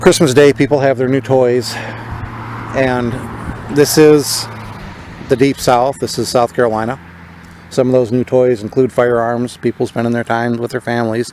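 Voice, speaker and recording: A man with an American accent talks at a moderate pace in a medium pitch, his intonation fairly even, with long, frequent pauses and noticeable background noise. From northern US. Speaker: political podcaster. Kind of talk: podcast monologue. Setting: outdoors in a cemetery.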